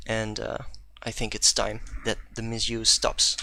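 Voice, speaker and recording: Someone with a Dutch accent speaks at a fairly slow pace in a very clean recording with a silent background. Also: man. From Netherlands. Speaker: programming conference speaker. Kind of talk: technical talk. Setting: live stream.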